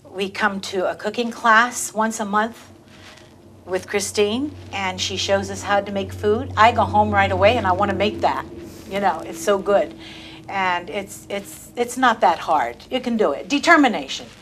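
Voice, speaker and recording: A woman talks at a moderate pace in a medium pitch with lively intonation over noticeable background noise. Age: 70s. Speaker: weight loss patient. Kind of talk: interview testimony.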